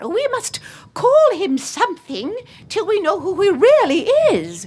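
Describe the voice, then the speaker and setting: A woman puts on a squeaky character voice at an extremely high pitch. She talks fairly slowly, her pitch swinging very widely. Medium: read story. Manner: warm, decisive.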